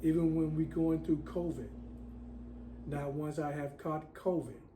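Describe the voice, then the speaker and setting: Somewhat breathy and dark, mellow in tone, a man's voice carries audible room echo. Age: 60s. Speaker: self-styled prophet, religious video maker. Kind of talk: religious monologue to camera.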